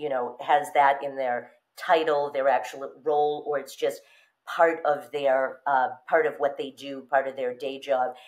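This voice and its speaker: This woman's voice is very deep and low, with fairly even intonation and a fairly slow pace. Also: quiet background. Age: 50s. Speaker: pricing strategy consultant; podcast guest. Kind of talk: interview. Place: home room. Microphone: webcam.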